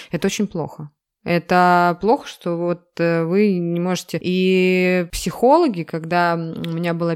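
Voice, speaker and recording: Female speech, very cleanly recorded against a silent background. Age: 30s. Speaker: podcast co-host. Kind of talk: casual chat.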